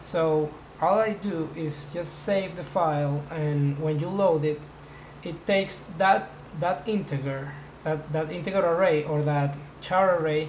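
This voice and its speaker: A man's fairly high voice with a non-native accent, at a fairly slow pace, amid noticeable background noise and audible room echo. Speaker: hobbyist programmer. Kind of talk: tutorial. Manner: halting.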